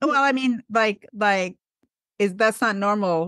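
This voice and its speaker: Against a quiet background, a woman speaks in a normal speaking voice. Her fairly high pitch has ordinary pitch variation at a fairly slow pace. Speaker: podcast host. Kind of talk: interview question.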